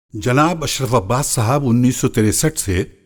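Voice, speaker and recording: On a very clean recording with a silent background, a man with a normal speaking voice uses lively intonation. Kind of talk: documentary interview answer.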